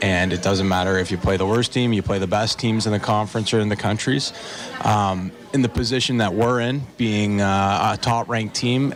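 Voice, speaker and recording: A man with a Canadian accent speaks at a fairly quick pace and fairly low pitch, with fairly even intonation and noticeable background noise. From Canada. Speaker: assistant hockey coach. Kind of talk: radio interview. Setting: live radio broadcast from restaurant.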